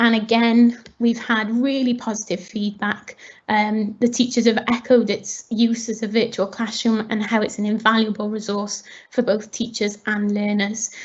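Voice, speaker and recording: Speaking at a moderate pace, a woman has a fairly high, somewhat breathy voice with monotone, flat intonation. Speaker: teacher. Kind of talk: webinar presentation.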